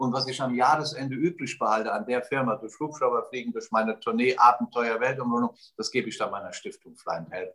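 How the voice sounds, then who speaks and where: A man at a medium pitch talks at a very fast pace with ordinary pitch variation. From Germany, Westerwald. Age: 60s. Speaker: radio host, entrepreneur and charity founder. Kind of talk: casual interview.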